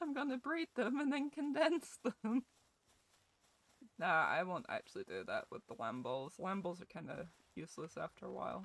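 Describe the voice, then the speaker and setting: The speaker has a Scottish accent, very wide pitch swings, and vocal fry. The sound is dry and close, with no echo. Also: woman, fairly high pitch for a woman, moderate pace. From Scotland. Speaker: gaming streamer. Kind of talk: live gameplay stream chat. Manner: animated.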